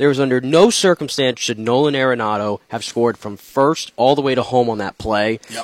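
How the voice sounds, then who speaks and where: A man with a plain, everyday voice speaks at a fairly quick pace and a medium pitch with ordinary pitch variation. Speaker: sports reporter co-host. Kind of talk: sports talk radio.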